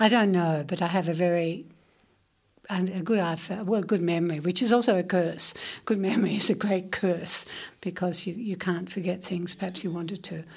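An Australian-accented woman talks at a moderate pace in a medium pitch with fairly even intonation. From Melbourne outer suburbs, Australia. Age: 70s. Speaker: literary critic and journalist. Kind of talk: radio interview.

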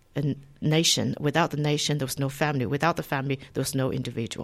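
A woman speaks with a Chinese accent in a very clean recording with a silent background. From China. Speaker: academic, lecturer in Chinese studies. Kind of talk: radio interview. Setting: radio studio.

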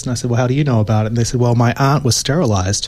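A man speaks with an Australian accent at a medium pitch. His intonation stays fairly even. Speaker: philosophy professor. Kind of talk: radio interview. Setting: radio studio.

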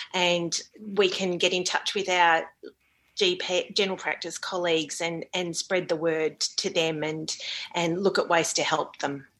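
A woman speaks with an Australian accent at a fairly slow pace. Her intonation is monotone and flat. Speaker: GP. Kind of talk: interview.

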